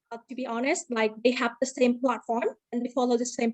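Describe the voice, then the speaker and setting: A woman with a Vietnamese accent speaks at a high pitch in a dry, close recording with no echo. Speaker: university lecturer. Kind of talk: conference presentation. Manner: halting.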